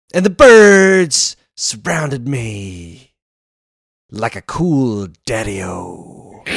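In a put-on character voice, a man at a medium pitch speaks very slowly, his pitch swinging very widely. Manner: cool, jazzy.

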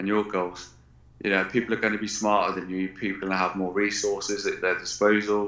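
With an English accent, a man speaks at a fairly quick pace in a fairly low pitch. His tone is bright and sharp, his intonation monotone and flat. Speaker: military veteran and performance coach. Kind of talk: interview.

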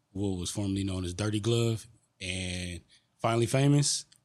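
A man speaks in a plain, everyday voice with a fairly low pitch and an American accent, at a moderate pace with ordinary pitch variation. The recording is very clean, with a silent background. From Detroit. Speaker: artist. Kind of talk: casual chat. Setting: studio.

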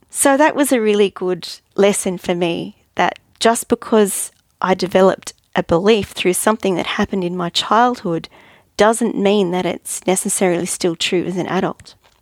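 A woman of medium pitch with an Australian accent, moderate pace and ordinary pitch variation, in a very clean recording with a silent background and a dry, close sound with no echo. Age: 50s. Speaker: podcast host, life coach. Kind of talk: monologue podcast, personal development talk.

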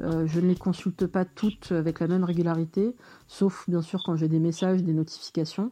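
A woman speaks at a moderate pace in a fairly low, dark and mellow voice, her loudness very even and her intonation flat and monotone against a quiet background. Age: 40s. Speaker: dating app user. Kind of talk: personal testimony. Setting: at home.

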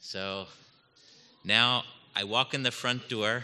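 A man with a bright, sharp tone. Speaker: divinity faculty member. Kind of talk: testimony.

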